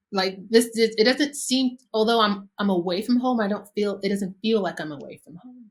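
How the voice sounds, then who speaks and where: Speaking at a moderate pace with hardly any pauses, a woman with an American accent has a fairly high, somewhat breathy voice, ordinary pitch variation and big swings in loudness. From United States. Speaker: interior designer. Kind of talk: casual interview. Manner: halting, many fillers.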